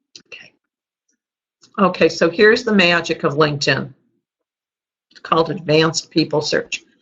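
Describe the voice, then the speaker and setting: A woman speaks with a slight Chicago accent. Her pitch is fairly low. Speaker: sales and marketing trainer. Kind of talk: webinar training presentation.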